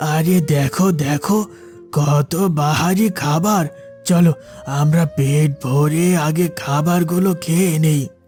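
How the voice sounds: Over clear background music, a man does a cartoonish character voice at a fairly high pitch, very slow and with fairly even intonation.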